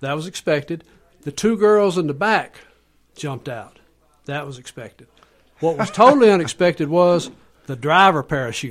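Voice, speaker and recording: A man with a Southern US accent, fairly high pitch, lively intonation, big swings in loudness, a moderate pace and long, frequent pauses. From US South. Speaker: author and storyteller. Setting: studio.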